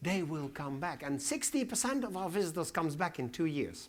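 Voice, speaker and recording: A man with a Dutch accent speaks with very wide pitch swings. Audible room echo surrounds his voice. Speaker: museum director. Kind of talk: conference Q&A. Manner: halting.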